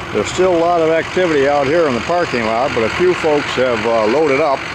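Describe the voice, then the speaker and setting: The speech moves at a fairly quick pace. Loud background noise runs underneath. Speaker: travel vlogger. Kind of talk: casual vlog commentary. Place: open country. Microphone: phone near.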